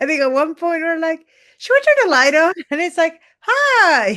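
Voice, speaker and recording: Her pitch is extremely high and swings very widely as this woman talks with a Spanish accent. She keeps a fairly slow pace. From Peru. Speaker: mountaineer and author. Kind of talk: interview.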